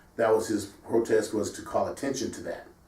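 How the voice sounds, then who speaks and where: This man has an American accent and a medium pitch. He sounds somewhat breathy and talks at a moderate pace. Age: 60s. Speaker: sports show host. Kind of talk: casual discussion.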